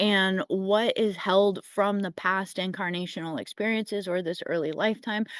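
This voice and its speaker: At a moderate pace and with hardly any pauses, a woman speaks in a plain, everyday voice at a medium pitch with fairly even intonation, the sound dry and close with no echo against a quiet background. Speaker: spiritual astrology forecaster. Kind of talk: weekly energy forecast talk. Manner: casual, conversational.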